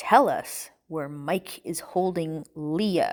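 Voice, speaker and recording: Growling in a put-on character voice, a woman speaks at a very slow pace. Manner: low, threatening, demanding.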